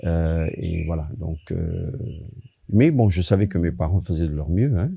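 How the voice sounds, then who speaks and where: Very slow and somewhat breathy, a man with an Italian accent speaks in a very deep, low pitch and a dark, mellow tone, with ordinary pitch variation. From Italy, moved to France at 10. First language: Italian (speaking French). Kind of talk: testimony. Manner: halting, many fillers.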